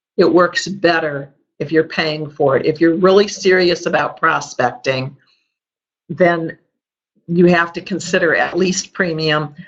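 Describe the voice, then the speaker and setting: Speaking with a slight Chicago accent, a woman keeps a fairly slow pace and fairly even intonation. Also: fairly low pitch for a woman. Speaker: sales and marketing trainer. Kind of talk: webinar training presentation.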